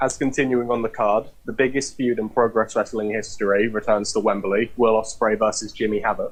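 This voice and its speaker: A man with a British accent talks at a fairly quick pace with hardly any pauses. His loudness is very even, and his intonation is monotone and flat. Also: medium pitch for a man. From Britain. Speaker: podcast guest, wrestling fan. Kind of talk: casual chat.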